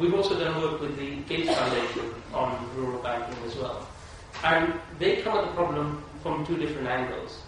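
Strong room echo and noticeable background noise surround a man speaking at a moderate pace, with a fairly high pitch and ordinary pitch variation. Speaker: panelist at a conference. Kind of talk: panel discussion answer. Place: hall.

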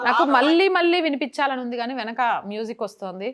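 A woman's plain, everyday voice with lively intonation over a quiet background. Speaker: journalist. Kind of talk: news commentary to camera.

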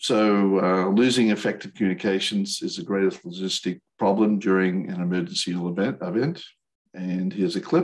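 Against a quiet background, a man speaks at a moderate pace in a fairly low voice with ordinary pitch variation. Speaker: radio presenter. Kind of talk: lecture. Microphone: video call.

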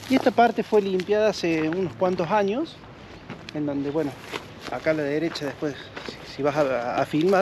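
In an Argentine accent, a man speaks at a moderate pace with lively intonation and long, frequent pauses, the sound dry with no echo but with noticeable background noise. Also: fairly high pitch for a man. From Argentina. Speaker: railway enthusiast; local guide or railway enthusiast. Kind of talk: casual chat. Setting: outdoors. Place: open country.

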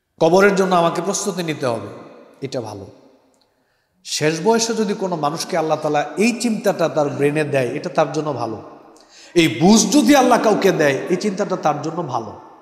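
A man with a high pitch talks in very wide pitch swings, with audible room echo and a quiet background. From Bangladesh. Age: 30s. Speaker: Islamic preacher. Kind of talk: sermon. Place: hall. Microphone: headset.

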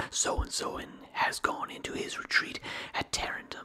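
A man is whispering. He keeps a moderate pace. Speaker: ASMR creator. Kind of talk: ASMR reading of philosophy. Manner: whispered. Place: home room. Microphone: studio mic.

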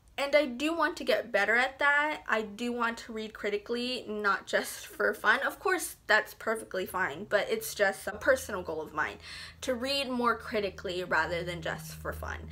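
A woman with a bright, sharp tone and fairly high pitch talks at a moderate pace with vocal fry. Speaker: book reviewer. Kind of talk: casual talk to camera.

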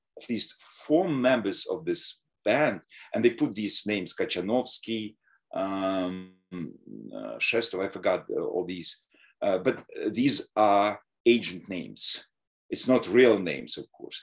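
Speaking very slowly with long, frequent pauses, a man shows big swings in loudness against a quiet background. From Soviet Ukraine. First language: Russian or Ukrainian. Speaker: history professor. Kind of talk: lecture. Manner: halting. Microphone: webcam.

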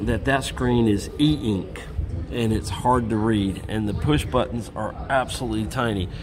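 A man speaking at a moderate pace, his pitch varying in an ordinary way, is heard against noticeable background noise. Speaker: traveler vlogger. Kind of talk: casual travel tutorial. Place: waterside. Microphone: phone near.

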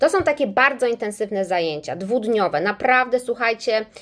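A woman talks at a fairly quick pace in an animated tone. Her pitch is fairly high, with ordinary variation. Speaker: English teacher and business trainer. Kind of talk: casual livestream talk to viewers. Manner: animated, chatty.

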